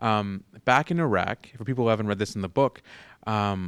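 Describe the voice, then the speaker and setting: A man with a Canadian accent has an ordinary speaking voice, fairly low in pitch with ordinary variation. The recording is very clean, with a silent background and a dry, close sound free of echo. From Peterborough, Ontario, Canada. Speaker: author and food journalist. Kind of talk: interview. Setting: public library.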